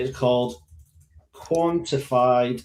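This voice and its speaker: A man speaking at a very slow pace in a strong Scottish accent. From Scotland. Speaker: algorithmic trader. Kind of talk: live tutorial. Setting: live online session.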